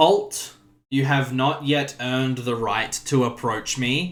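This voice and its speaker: Using a put-on character voice, a man talks fairly slowly at a medium pitch. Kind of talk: formal. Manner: imposing, commanding.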